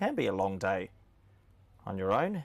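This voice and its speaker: With a slight Australian accent, a man speaks at a fairly slow pace. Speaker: cricket commentator. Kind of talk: live commentary. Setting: commentary box, alone with screens. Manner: animated.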